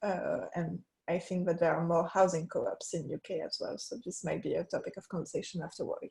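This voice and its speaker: This woman talks at a fairly quick pace with a strong French accent. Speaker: researcher. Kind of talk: conference presentation.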